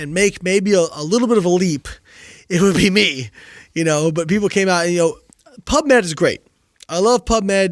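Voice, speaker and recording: At a moderate pace with long, frequent pauses, a speaker with an American accent uses ordinary pitch variation on a very clean recording with a silent background. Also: man, high pitch for a man. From Indiana, US Midwest. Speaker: nutrition scientist and physique coach. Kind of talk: casual interview chat.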